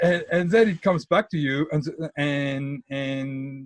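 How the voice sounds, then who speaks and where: A man with a French accent speaks at a fairly high pitch. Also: dry, close sound with no echo. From France. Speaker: tech book author. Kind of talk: podcast interview. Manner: halting, many repetitions.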